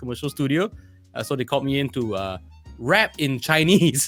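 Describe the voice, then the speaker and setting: At a moderate pace and with ordinary pitch variation, the speaker talks while music plays in the background. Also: man. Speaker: voice actor. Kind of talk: interview answer.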